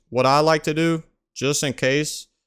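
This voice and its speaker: A man with a Louisiana accent at a moderate pace, fairly even intonation, and a very clean recording with a silent background. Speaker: gaming YouTuber. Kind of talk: tutorial. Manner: casual.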